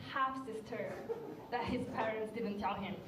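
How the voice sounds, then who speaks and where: Noticeable background noise and audible echo from the room around a woman's speech. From China. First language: not English. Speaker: comedian. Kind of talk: roast battle stand-up. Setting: stage with audience. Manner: slow.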